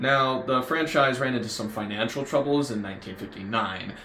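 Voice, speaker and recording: The speaker has an American accent. Noticeable background noise and audible room echo come through. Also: man. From United States. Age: 20s. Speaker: YouTuber, fast food reviewer. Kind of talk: scripted commentary video.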